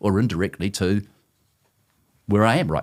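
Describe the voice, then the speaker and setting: A man with a New Zealand accent is heard on a very clean recording with a silent background. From New Zealand, South Auckland. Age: 60s. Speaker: former company CEO, author. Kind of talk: podcast interview.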